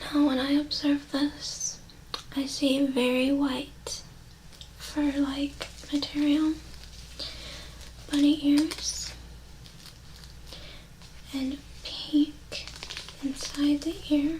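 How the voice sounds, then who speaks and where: A soft-spoken woman with a high pitch speaks at a very slow pace in a monotone, flat intonation, with long, frequent pauses and noticeable background noise. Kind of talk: ASMR mindfulness exercise, soft-spoken talk to camera. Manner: soft-spoken, slow, calming.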